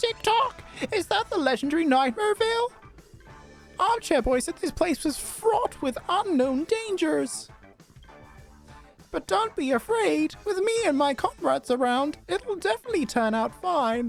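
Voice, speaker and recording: A man does a put-on character voice at an extremely high pitch and a moderate pace. Clear music plays in the background. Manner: encouraging, reassuring.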